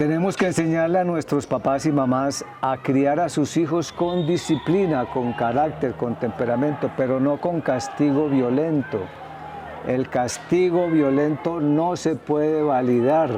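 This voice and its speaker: A man at a fairly high pitch and fairly slow pace, very even in loudness, with ordinary pitch variation over noticeable background noise. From Colombia, Medellín. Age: 60s. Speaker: psychologist. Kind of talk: TV interview. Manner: halting, repeats words.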